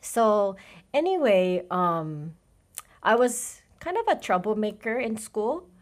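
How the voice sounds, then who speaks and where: Very slowly and with very wide pitch swings, a woman with a Japanese accent speaks at a fairly high pitch on a very clean recording with a silent background. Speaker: college international program coordinator. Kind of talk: interview.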